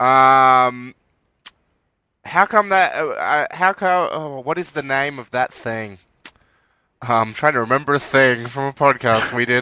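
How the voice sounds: Speaking with an Australian accent, a man uses a bright, sharp tone with ordinary pitch variation. He leaves long, frequent pauses. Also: medium pitch for a man, fairly slow pace.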